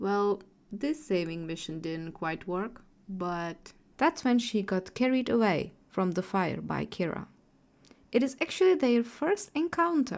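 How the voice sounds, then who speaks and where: A woman with a non-native accent, a medium pitch, very wide pitch swings, and a fairly slow pace. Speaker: artist and storyteller. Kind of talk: character backstory narration.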